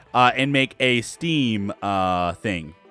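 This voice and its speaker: A man's intonation is lively. Behind him, music plays. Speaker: gaming video creator. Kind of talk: gameplay commentary. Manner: energetic.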